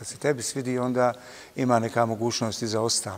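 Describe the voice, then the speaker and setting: A man's monotone, flat delivery at a very fast pace. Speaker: interview guest. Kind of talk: interview answer. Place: hall. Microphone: lapel.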